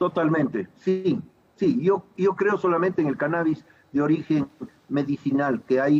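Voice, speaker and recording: A man talks in a plain, everyday voice at a fairly high pitch. His loudness stays very even, with ordinary pitch variation. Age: 60s. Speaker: physician and political candidate. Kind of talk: TV interview.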